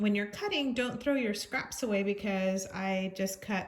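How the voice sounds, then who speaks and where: Somewhat breathy, a woman speaks at a medium pitch and moderate pace. Her pitch varies in an ordinary way. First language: not English. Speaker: crafts channel host. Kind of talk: tutorial. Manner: halting.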